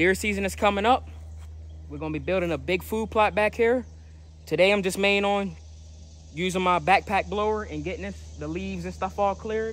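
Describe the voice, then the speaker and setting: Speaking at a fairly quick pace, a man comes through with a dry sound and no echo. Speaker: outdoors vlogger. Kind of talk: casual vlog chat. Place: forest. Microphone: phone near.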